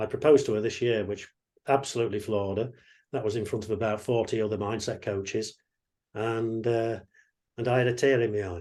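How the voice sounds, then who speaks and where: Against a quiet background, a man with a dark, mellow tone speaks at a medium pitch and a fairly quick pace. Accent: English. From England. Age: 60s. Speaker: mindset coach. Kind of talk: online workshop talk.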